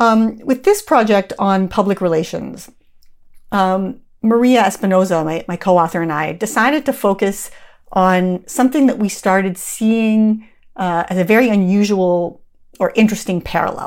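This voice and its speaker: An ordinary speaking voice from a woman with a Canadian accent, medium in pitch with ordinary pitch variation and a moderate pace, on a very clean recording with a silent background. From Canada. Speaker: professor and author. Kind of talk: interview.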